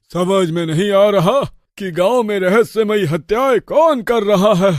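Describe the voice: In a cartoonish character voice, a man speaks at a high pitch and moderate pace with ordinary pitch variation.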